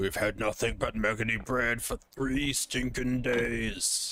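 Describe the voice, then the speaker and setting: A man's put-on character voice at a medium pitch. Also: fairly slow pace. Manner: gruff, complaining.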